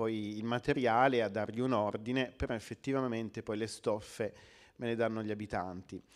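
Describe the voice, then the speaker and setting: A man speaks at a moderate pace with fairly even intonation. Behind him, the background stays quiet. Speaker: author and book editor. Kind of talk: book presentation talk. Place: hall. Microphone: handheld.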